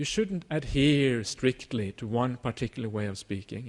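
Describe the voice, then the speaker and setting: The background is quiet as a man talks at a moderate pace. His intonation is lively. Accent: Norwegian. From Norway. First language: Norwegian. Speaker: Buddhist monk teacher. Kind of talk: dharma talk. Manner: frequent filler uhs, hesitant.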